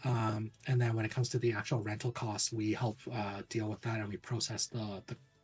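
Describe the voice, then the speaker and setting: A somewhat breathy man speaks at a medium pitch and a fairly quick pace. His intonation stays flat and monotone, with hardly any pauses. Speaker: government worker and streamer. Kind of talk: interview.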